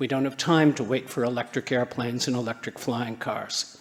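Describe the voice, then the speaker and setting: With noticeable background noise around him, this man keeps his intonation fairly even. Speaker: conference speaker on sustainable building. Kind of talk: conference talk.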